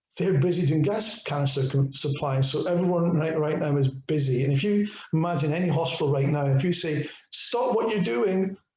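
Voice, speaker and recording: A man with a Scottish accent speaks fairly quickly at a fairly high pitch, with ordinary pitch variation, very even loudness and audible room echo. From Scotland. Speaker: IoT technology speaker. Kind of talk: webinar presentation with Q&A. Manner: fast.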